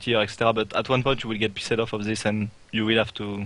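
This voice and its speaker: A man's very fast, medium-pitched delivery with a French accent. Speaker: esports player. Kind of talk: interview. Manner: halting.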